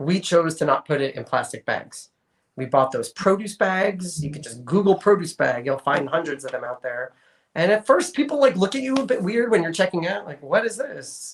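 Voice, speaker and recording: A man with a high pitch speaks at a moderate pace, his pitch swinging very widely and his loudness shifting in big swings. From New York. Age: 40s. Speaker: sustainability advocate. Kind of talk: interview. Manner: casual, conversational.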